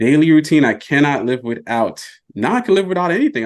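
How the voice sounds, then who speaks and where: This man's pitch swings very widely as he talks in an American accent at a fairly quick pace. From US South. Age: 40s. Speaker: personal finance content creator. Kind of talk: podcast interview.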